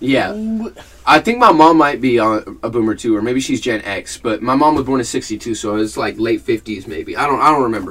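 A man talks at a fairly quick pace, his pitch at a medium level. He has a plain, everyday voice. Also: lively intonation. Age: 20s. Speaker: podcast co-host. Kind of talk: casual chat.

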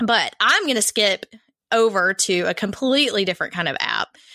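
A woman speaks with a fairly high pitch and ordinary pitch variation, her tone upbeat, bright and sharp. The sound is dry and close, with no echo. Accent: Southern US. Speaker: podcast host. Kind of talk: casual chat. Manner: friendly, upbeat.

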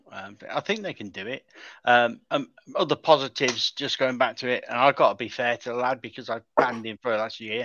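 Talking at a fairly quick pace, a man has an ordinary speaking voice with a medium pitch and ordinary pitch variation. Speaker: Wolves fan guest. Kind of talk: casual football chat.

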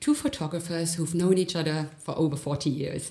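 Background noise can be noticeably heard. Over it, a woman talks. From Germany. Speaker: gallery creative director. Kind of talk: interview.

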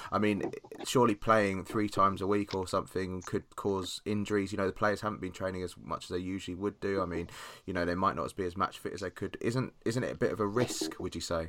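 The recording is very clean, with a silent background. A man with a fairly low pitch talks very fast with fairly even intonation. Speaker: podcast host. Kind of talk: casual chat.

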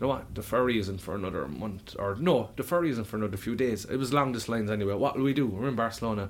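This is a man's voice. Its pitch is medium, with ordinary variation. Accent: Cork. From Ireland. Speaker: musician and bar owner. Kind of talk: casual chat; announcement.

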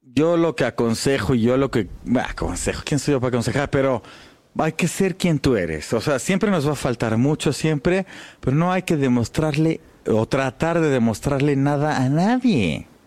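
Lively in intonation and very even in loudness, a man with a fairly high pitch talks at a moderate pace in an unremarkable speaking voice. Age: 40s. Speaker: jazz double bassist. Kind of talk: casual interview.

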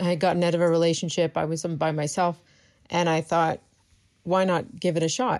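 Over a quiet background, a woman with a Maritime Canadian accent speaks at a fairly quick pace, her fairly low pitch carrying fairly even intonation at a very even loudness. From Maritime Canada. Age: 30s. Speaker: comic book artist. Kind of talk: casual interview. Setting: video call.

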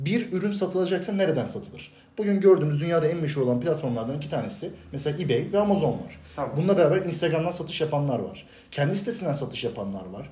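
A man speaks at a very fast pace in a high pitch. Audible room echo and noticeable background noise are present. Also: lively intonation. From Turkey, Bursa. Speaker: export sales professional. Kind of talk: casual chat.

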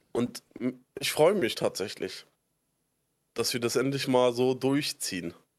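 A man's medium-pitched voice at a very slow pace, lively in intonation, broken by long, frequent pauses. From Berlin (Spandau), Germany. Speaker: podcast co-host. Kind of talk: casual chat. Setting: Discord call.

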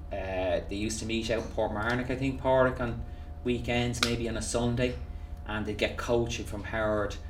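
With a Dublin accent, a man speaks at medium pitch and a moderate pace with fairly even intonation, amid noticeable background noise and audible room echo. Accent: Irish (Dublin). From Ireland, Dublin. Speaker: golf coach. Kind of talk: interview. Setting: golf academy facility.

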